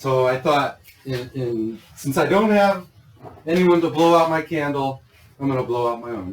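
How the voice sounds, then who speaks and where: A man with an American accent, an unremarkable speaking voice, fairly high pitch, lively intonation, and a moderate pace. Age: 60s. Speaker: grow systems business owner and vlogger. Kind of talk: casual chat. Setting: shop showroom.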